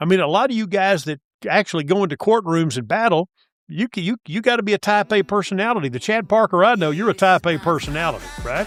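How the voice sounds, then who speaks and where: In an East Texas accent, a man talks at a very fast pace in a high pitch with lively intonation, the sound dry and close with no echo. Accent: East Texas Southern US. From East Texas (Tyler). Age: 60s. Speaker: sports broadcaster and radio talk host. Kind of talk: casual interview chat. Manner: animated, talks over host.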